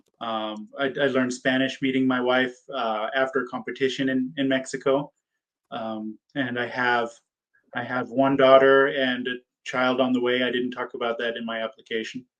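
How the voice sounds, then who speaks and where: Moving at a moderate pace, a man speaks at medium pitch in a monotone, flat intonation. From United States. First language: German. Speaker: PA school applicant. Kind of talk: mock interview. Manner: halting, many fillers and repeats.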